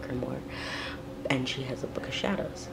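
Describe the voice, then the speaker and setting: Someone whispers at a very fast pace against noticeable background noise. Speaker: pagan video blogger. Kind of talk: casual vlog. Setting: home at night, filmed video. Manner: whispering. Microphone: quiet, may need volume turned up.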